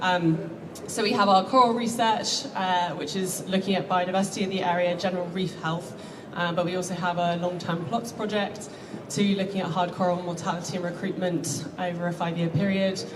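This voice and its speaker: A woman at a medium pitch, fairly quick and fairly even in intonation, amid noticeable background noise and audible room echo. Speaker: marine conservation charity founder. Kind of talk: conference talk. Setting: stage with audience. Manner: fast.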